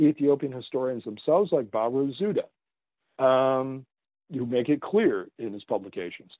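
An ordinary speaking voice with a Canadian accent, lively intonation and a moderate pace. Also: man. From Canada. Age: 50s. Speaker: author. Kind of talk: interview.

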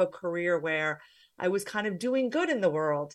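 With a New Jersey accent, a woman speaks with lively intonation over a quiet background. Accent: New Jersey American. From US, New Jersey. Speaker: former banker turned career coach. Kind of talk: interview conversation.

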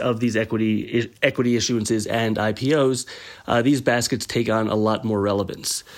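A man speaks at a moderate pace in an ordinary speaking voice, with medium pitch, fairly even intonation and very even loudness. The recording is very clean, with a silent background. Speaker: debt covenants analyst. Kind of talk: explanatory segment. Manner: frequent fillers (um, uh).

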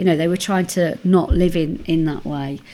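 Speaking at a moderate pace, a woman uses a fairly low pitch and a dark, mellow tone with ordinary pitch variation. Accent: East Midlands. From Nottingham, England. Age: 50s. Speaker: academic and activist. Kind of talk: interview.

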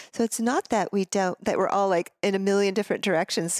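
A woman with an ordinary speaking voice talks at medium pitch with fairly even intonation. The recording is very clean with a silent background and a dry, close sound with no echo. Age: 50s. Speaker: tantric yoga and intimacy teacher. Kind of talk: casual interview.

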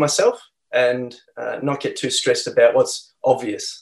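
A man is speaking. He has an Australian accent. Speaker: health practitioner and company founder. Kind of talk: interview. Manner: calm.

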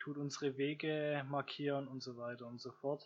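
A man's medium-pitched voice at a moderate pace, in monotone, flat intonation. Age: 20s. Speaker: podcaster. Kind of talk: solo monologue podcast. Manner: hesitant, many fillers.

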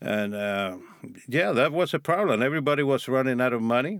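In a Cuban accent, a man speaks at medium pitch with lively intonation. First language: Spanish. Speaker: former drug smuggler. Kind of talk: interview.

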